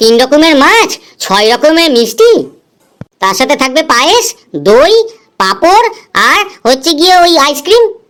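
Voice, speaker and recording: This cartoonish character voice sounds female and moves at a moderate pace. Its pitch swings very widely. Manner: cheeky, teasing.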